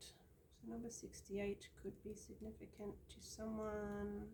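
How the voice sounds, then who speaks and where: Speaking at a very slow pace with hardly any pauses, a woman is heard amid noticeable background noise and audible room echo. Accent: Australian. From Australia. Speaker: tarot card reader. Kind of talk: card reading monologue. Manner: casual, with many fillers.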